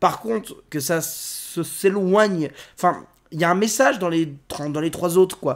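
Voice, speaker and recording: A man with a high pitch and ordinary pitch variation talks fairly slowly. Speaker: film critic. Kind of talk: film review monologue. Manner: halting.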